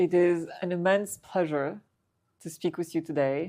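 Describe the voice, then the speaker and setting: Using a normal speaking voice, a woman talks at a fairly slow pace with a fairly low pitch and ordinary pitch variation. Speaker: interviewer, podcast host. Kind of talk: interview question.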